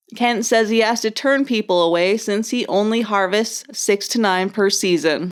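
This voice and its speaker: An unremarkable speaking voice from a woman with an American accent, fairly high pitch and ordinary pitch variation, at a moderate pace with hardly any pauses and very even loudness, on a very clean recording with a silent background. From Upper Michigan. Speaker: outdoor TV show host. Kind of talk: scripted narration.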